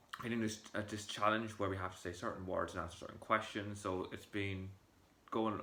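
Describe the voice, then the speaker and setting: This man has a fairly low pitch. His tone is bright and sharp. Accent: Irish. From Ireland, County Monaghan. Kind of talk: casual talk to camera.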